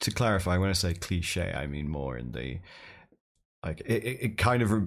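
A man with a British accent talks at a very deep, low pitch with vocal fry. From UK. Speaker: podcast host and streamer. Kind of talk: casual interview chat. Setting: remote call across time zones.

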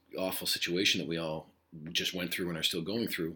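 A man speaks with a bright, sharp tone. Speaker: high school Spanish teacher. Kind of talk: podcast monologue to students. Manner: rambling, casual.

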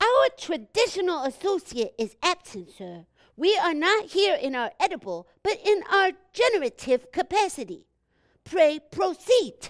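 This is a put-on character voice at an extremely high pitch. The recording is very clean, with a silent background. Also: moderate pace. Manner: pompous, verbose, formal.

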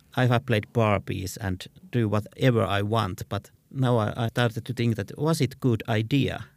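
At a moderate pace, a man with a Finnish accent speaks at a medium pitch with fairly even intonation. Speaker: visual artist. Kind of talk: interview. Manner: halting.

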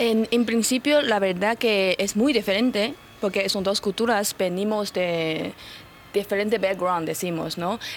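Speaking in a Chinese accent, a woman has a medium pitch and ordinary pitch variation. Her pace is fairly slow. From China. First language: Chinese (speaking Spanish). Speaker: influencer. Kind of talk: radio interview.

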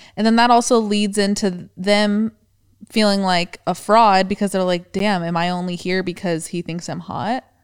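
In a very clean recording with a silent background, a woman with an ordinary speaking voice talks at a moderate pace and medium pitch, her intonation fairly even. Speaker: podcast co-host. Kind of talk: casual chat.

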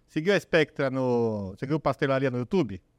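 The background is silent and the recording very clean. A man speaks. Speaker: podcast producer. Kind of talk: casual chat.

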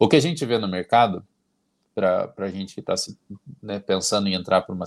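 The pace is very fast. A man talks with ordinary pitch variation. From Paraná, Brazil. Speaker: flight attendant. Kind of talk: casual interview. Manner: energetic.

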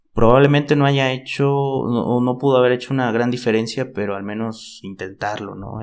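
A man talks in a normal speaking voice at a medium pitch and moderate pace, his intonation fairly even. The recording is very clean, with a silent background. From Mexico, Chiapas. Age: 20s. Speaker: podcast co-host, football commentator. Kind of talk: casual football chat.

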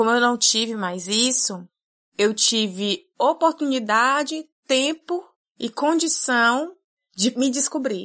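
With a fairly high pitch, a woman speaks at a very slow pace. Her intonation is lively. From Brazil, Fortaleza, Ceará. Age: 30s. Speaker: podcast editor and producer. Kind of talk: casual interview conversation. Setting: video call.

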